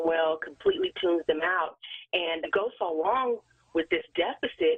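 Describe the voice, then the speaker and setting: A woman with a normal speaking voice talks at a fairly low pitch. Her intonation is fairly even and her pace moderate. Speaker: audiologist. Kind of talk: radio interview answer.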